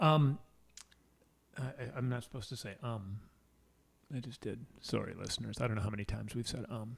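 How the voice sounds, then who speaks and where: Somewhat breathy, a man with an American accent speaks at a fairly quick pace and a medium pitch with ordinary pitch variation and long, frequent pauses. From Wisconsin. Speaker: podcast co-host. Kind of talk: casual chat.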